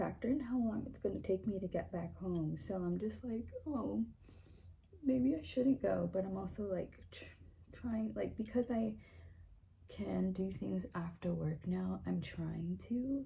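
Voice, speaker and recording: A woman talks quietly with an American accent. Her pace is fairly slow. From US South, Florida. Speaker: vlogger. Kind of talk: casual vlog talk to camera. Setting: at home, getting ready in the morning.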